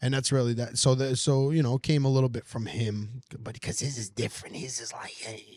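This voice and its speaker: A man with a New York accent talks at a fairly quick pace and a medium pitch. His loudness swings widely. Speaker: comedian. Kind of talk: casual chat. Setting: diner.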